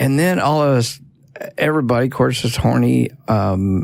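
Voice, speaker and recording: A man's medium-pitched, normal speaking voice at a moderate pace, with ordinary pitch variation. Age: 60s. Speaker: founder of the show. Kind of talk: casual chat.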